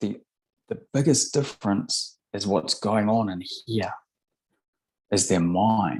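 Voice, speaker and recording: A man's fairly low voice with a New Zealand accent, at a very slow pace, with long, frequent pauses and ordinary pitch variation. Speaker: hypnotherapist. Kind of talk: interview. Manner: halting, frequent word repetitions.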